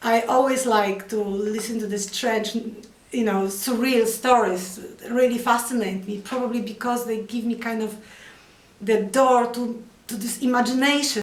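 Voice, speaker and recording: The speaker has a Polish accent and a monotone, flat delivery at a moderate pace. Audible room echo and noticeable background noise are present. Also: woman, fairly high pitch for a woman. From Poland. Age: 50s. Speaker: artist. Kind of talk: interview. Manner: halting.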